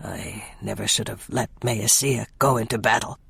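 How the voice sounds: A man in a raspy, shaky put-on character voice speaks at a medium pitch and moderate pace in a flat monotone.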